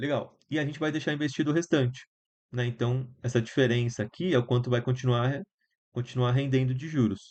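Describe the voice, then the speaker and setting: Here a man speaks at a medium pitch. His pace is fairly quick and his intonation fairly even. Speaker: student tutor. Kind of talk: online lecture. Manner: casual, halting.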